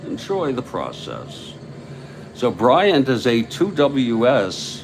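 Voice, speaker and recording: A man at a very slow pace, relaxed in tone, with lively intonation and noticeable background noise. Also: medium pitch for a man. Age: 60s. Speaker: tabletop baseball game commentator. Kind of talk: simulated live play-by-play commentary. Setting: home studio. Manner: slow, relaxed pace.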